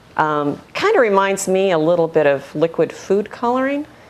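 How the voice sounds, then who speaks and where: A woman with a Midwestern accent talks at a moderate pace. Her fairly low voice swings very widely in pitch. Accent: Midwest American. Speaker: art teacher. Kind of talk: tutorial. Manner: friendly, conversational.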